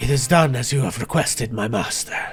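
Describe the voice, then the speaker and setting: A man puts on a raspy character voice at a medium pitch. He talks at a fairly quick pace over clear background music. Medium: actual play. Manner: subservient.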